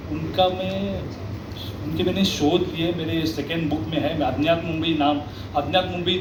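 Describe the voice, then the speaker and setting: With a Marathi accent, a man speaks at a high pitch with very wide pitch swings, with audible room echo and noticeable background noise. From Mumbai, India. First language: Marathi (speaking Hindi). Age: 60s. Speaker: author and local historian. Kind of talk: speech at a literary event.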